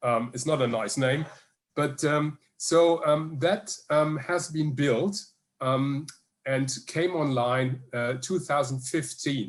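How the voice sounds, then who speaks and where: A man with a German accent speaks very slowly at a fairly high pitch, his voice somewhat breathy and his pitch varying in an ordinary way. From Germany, Hamburg. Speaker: energy researcher. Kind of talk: Q&A answer at online conference. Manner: halting, many fillers.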